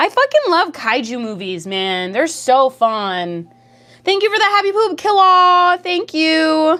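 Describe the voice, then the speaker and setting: Raised and projected, a woman's extremely high voice has a bright, sharp tone, an animated delivery and very wide pitch swings at a fairly slow pace. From Canada. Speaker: streamer. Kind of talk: casual livestream chat, reading chat messages. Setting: livestream.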